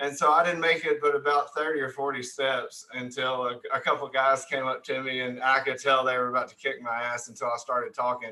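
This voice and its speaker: This man speaks fairly quickly with an American accent at a medium pitch. His tone is bright and sharp, his intonation flat and monotone. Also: hardly any pauses. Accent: redneck. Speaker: podcast host. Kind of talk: casual chat.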